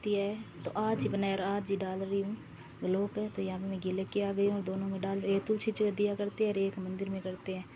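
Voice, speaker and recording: Monotone, flat intonation marks a woman's medium-pitched voice as noticeable background noise plays behind it. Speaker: vlogger. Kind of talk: casual vlog narration.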